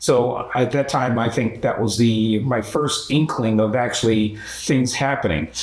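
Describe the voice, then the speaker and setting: With a Philadelphia accent, a man talks at a fairly slow pace, his loudness very even and his pitch varying in an ordinary way, over noticeable background noise. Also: medium pitch for a man. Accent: Philadelphia American English. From US Northeast, Philadelphia. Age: 70s. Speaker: human rights activist. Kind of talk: documentary interview. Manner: halting, many fillers.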